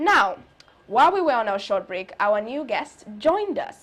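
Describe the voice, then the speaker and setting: This woman's voice is high and moves at a moderate pace. It swings very widely in pitch. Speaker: morning talk show host. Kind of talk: live talk show interview.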